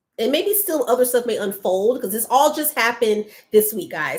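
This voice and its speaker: In an American accent, a woman speaks with pitch that swings very widely. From Atlanta, US South. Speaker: lifestyle content creator and livestream host. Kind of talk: casual livestream chat. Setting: livestream.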